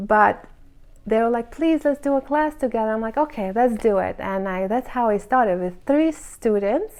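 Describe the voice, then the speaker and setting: A woman with a non-native accent talks at a moderate pace. Her pitch sits fairly high and varies in an ordinary way. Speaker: hairstylist. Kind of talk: casual monologue. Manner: animated.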